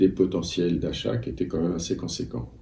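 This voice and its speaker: A man's dark, mellow tone with vocal fry. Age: 60s. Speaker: antiques dealer. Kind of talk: interview. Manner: hesitant, many fillers.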